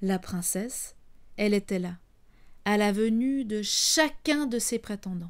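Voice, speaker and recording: In a playful tone, a woman speaks at a very slow pace with long, frequent pauses, fairly high in pitch with ordinary pitch variation, on a very clean recording with a silent background. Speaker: storyteller. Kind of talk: bedtime story telling, intimate and warm, as if speaking to children. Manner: animated, conversational; playful, teasing, with asides to the audience.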